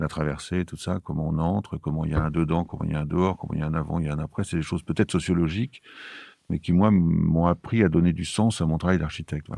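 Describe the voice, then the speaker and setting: Speaking very fast, a man uses a very deep, low pitch and a dark, mellow tone with fairly even intonation. The sound is dry and close, with no echo. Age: 70s. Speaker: architect. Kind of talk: interview. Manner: halting.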